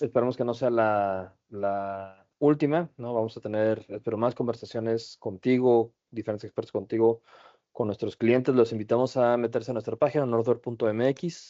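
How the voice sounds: A man speaks at a moderate pace with fairly even intonation. His medium-pitched voice has a dark, mellow tone.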